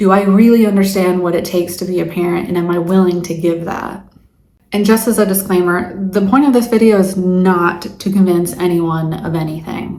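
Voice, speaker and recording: In a plain, everyday voice, a woman speaks at a moderate pace with a medium pitch and fairly even intonation. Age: 40s. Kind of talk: casual talk to camera.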